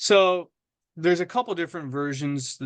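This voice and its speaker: The man's voice is loud, with a bright, sharp tone and a fairly high pitch. The background is quiet. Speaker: webinar presenter, trainer. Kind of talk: webinar Q&A. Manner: halting, many fillers and repetitions.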